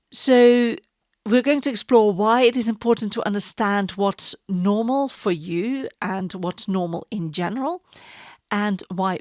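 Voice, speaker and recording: Pitch variation is ordinary as a woman speaks at a medium pitch and fairly slow pace. The sound is dry and close with no echo, in a very clean recording with a silent background. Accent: Dutch. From Netherlands. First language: Dutch. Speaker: podcast host. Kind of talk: casual monologue.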